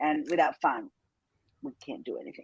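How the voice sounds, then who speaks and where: A woman with an Argentine accent and very wide pitch swings. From Argentina. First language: Spanish. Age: 50s. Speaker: entrepreneur. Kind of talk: interview.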